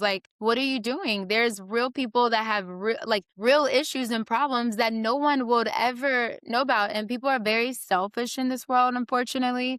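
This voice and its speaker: A woman talks in a plain, everyday voice at a moderate pace, fairly high in pitch with fairly even intonation. The recording is very clean, with a silent background. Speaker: podcast host, actress and stunt performer. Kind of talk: interview question, casual conversation.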